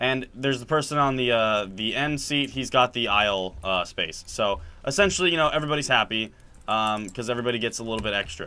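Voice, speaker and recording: Talking at a very fast pace, a man uses a medium pitch with ordinary pitch variation. His tone comes across bright and sharp. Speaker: gaming video creator. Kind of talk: casual chat while gaming. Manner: halting, many fillers and restarts.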